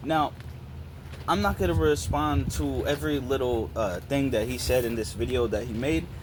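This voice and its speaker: The pitch swings very widely. Audible room echo fills the recording. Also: man. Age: 20s. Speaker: YouTuber. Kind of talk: response video rant. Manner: animated.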